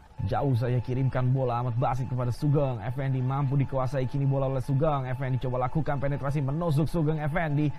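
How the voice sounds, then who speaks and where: A man at a very fast pace, medium pitch, fairly even intonation and very even loudness, with noticeable background noise. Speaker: football commentator. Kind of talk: live football commentary. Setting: match broadcast, stadium.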